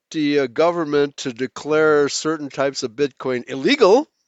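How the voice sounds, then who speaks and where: This is a normal speaking voice at a fairly slow pace. The pitch moves in an ordinary way. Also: man. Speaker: guest. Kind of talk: casual chat.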